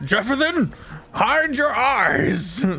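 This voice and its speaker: A put-on character voice sits at a fairly high pitch. Background noise is clearly audible. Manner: imitating another player's character voice.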